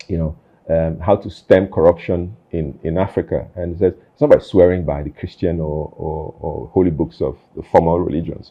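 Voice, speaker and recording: Moderate pace, fairly even intonation, and big swings in loudness. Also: man, very deep, low pitch for a man. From Nigeria, army barracks across the country. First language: Nigerian Pidgin. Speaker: interview show host. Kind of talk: casual interview conversation. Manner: halting, many fillers and repeats.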